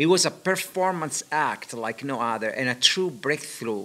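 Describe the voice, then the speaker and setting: In a non-native accent, a man speaks with a bright, sharp tone. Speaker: interviewer. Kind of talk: reading aloud; interview. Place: hall. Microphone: studio mic.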